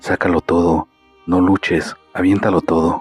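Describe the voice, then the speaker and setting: In a put-on character voice that is hoarse and raspy, the speaker goes at a moderate pace while faint music plays in the background. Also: man, very deep, low pitch for a man. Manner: commanding.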